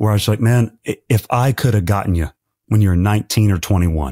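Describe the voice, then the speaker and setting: Against a quiet background, a man with a fairly low pitch and a somewhat breathy voice talks at a moderate pace with ordinary pitch variation. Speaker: podcast host. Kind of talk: interview conversation. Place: home room. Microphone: studio mic.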